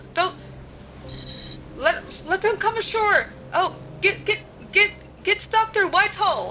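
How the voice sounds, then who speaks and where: In a put-on, gruff character voice at an extremely high pitch, the speaker goes very slowly with long, frequent pauses over clear background noise. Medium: actual play. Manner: curt, formal.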